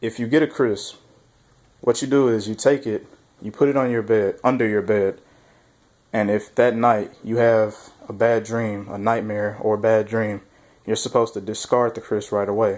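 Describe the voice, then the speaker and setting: A man's medium-pitched voice in monotone, flat intonation. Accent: Southern US. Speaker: weapons reviewer. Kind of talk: product demo. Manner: casual.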